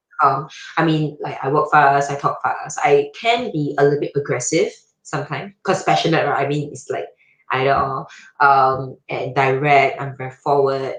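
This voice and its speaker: A woman with a very deep, low pitch and a somewhat breathy sound. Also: ordinary pitch variation, moderate pace, big swings in loudness. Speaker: podcast guest, IT professional. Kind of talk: casual chat.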